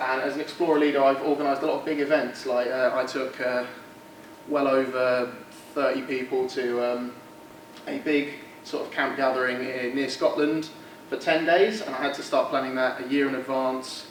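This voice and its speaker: A man of medium pitch with a southeast English accent, fairly even intonation and a moderate pace, amid audible room echo and noticeable background noise. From southeast England. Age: 20s. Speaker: student society candidate. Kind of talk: election speech presentation. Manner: halting, many fillers.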